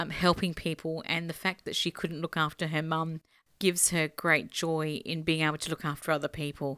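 A woman speaks at a moderate pace in a fairly low pitch with a bright, sharp tone. The sound is dry and close with no echo, on a very clean recording with a silent background. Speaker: community radio interviewer. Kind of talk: interview.

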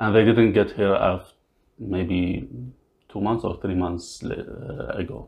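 A man speaks at a very slow pace in a fairly low, somewhat breathy voice. His pitch variation is ordinary. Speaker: refugee. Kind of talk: interview. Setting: at home. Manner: halting.

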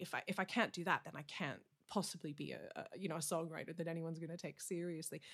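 A woman's plain, everyday voice, fairly low-pitched, at a fairly quick pace, in a very clean recording with a silent background. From Canada. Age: 40s. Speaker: country singer-songwriter. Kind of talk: casual interview.

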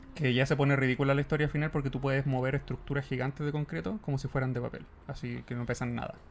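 Very fast speech in a Chilean accent. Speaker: video game podcast co-host. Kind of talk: casual chat.

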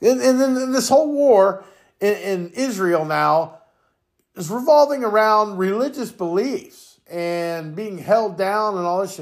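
A man speaks loudly and angrily at a fairly slow pace. His pitch is high, and his intonation is lively. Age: 50s. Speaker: podcast opinion host. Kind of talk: profane solo political rant, no filter. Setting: home recording, cat in the background. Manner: angry, expletive-laden ranting with repeated stammered words; loud, self-described raging buffoon.

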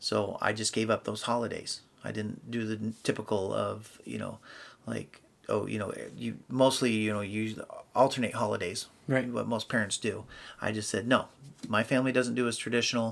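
Monotone, flat intonation from a man with an American accent, fairly low pitch, vocal fry and a moderate pace. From US Pacific Northwest. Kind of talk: casual interview chat.

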